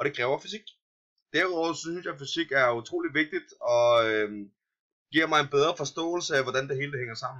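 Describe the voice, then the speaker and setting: A man's bright, sharp tone, fairly high in pitch, very fast, with ordinary pitch variation. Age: 20s. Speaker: adult student. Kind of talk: self-introduction. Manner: halting, many fillers.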